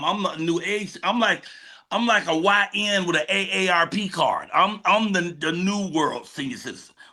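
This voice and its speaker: Raised and projected, a man's high-pitched voice sounds bright, sharp and animated at a moderate pace with ordinary pitch variation. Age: 60s. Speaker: comedian. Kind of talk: casual chat.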